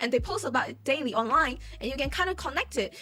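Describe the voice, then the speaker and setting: A woman with a non-native accent speaks in a raised, projected voice at a very fast pace. Her tone is bright and sharp, with very wide pitch swings. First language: not English. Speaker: YouTuber commentator. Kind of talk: casual commentary. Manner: halting.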